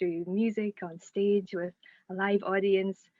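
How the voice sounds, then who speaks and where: A woman speaks at a fairly slow pace in a Scottish accent. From Scotland. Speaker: singer-songwriter. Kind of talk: interview answer. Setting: Zoom call.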